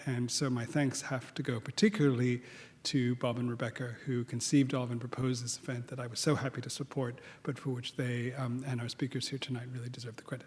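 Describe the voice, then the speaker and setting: Somewhat breathy and very fast, the speaker talks in a flat monotone with a slight Australian accent. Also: man, medium pitch for a man. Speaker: head of architecture school. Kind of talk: welcome speech. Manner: halting, many fillers.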